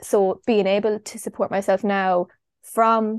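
Speaking in an Irish Midlands accent, a woman with a medium pitch delivers her words in a monotone, flat intonation, with a dry, close sound and no echo. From Ireland, Longford (Midlands). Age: 20s. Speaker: travel content creator. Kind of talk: casual interview chat.

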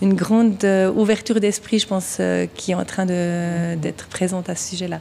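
With a Vaud accent, a woman speaks at a moderate pace and medium pitch for a woman, in a monotone, flat intonation over noticeable background noise. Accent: Swiss French (Vaud). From Switzerland, canton of Vaud. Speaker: craft brewery co-owner. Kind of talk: interview.

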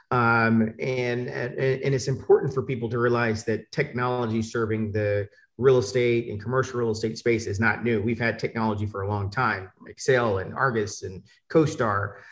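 This man talks at a moderate pace in a medium pitch with an American accent, his intonation fairly even and his voice somewhat breathy. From Atlanta, US South. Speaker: panelist. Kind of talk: panel discussion. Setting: video call.

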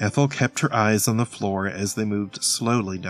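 The intonation holds fairly even. It comes in an unforced reading voice.

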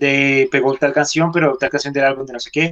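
This man talks in a monotone, flat delivery at a moderate pace. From Colombia. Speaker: rock musician. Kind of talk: radio interview. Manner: hesitant, many filler sounds.

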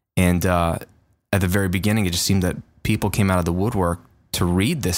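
This man speaks with a very deep, low pitch and fairly even intonation. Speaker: online audio educator and YouTuber. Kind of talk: casual interview. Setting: remote call via Skype.

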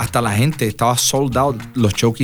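A man's pitch varies in an ordinary way as he keeps a moderate pace in a normal speaking voice. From Puerto Rico, Las Piedras. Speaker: salsa singer and flutist. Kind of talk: interview. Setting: recorded on location in rural Puerto Rico.

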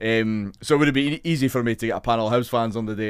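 In a Scottish accent, a man speaks at a very fast pace and a fairly low pitch with ordinary pitch variation, on a very clean recording with a silent background. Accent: Scottish, Edinburgh. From Scotland. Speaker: podcast host. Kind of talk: interview. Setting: studio.

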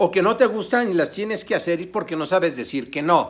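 On a very clean recording with a silent background, a man with a high pitch talks in an animated tone at a fairly quick pace, his pitch varying in an ordinary way. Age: 50s. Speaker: online business coach. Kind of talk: tutorial.

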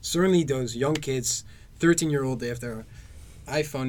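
A somewhat breathy man at a fairly quick pace, ordinary pitch variation, audible room echo. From Netherlands. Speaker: podcast guest, former student. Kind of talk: casual chat.

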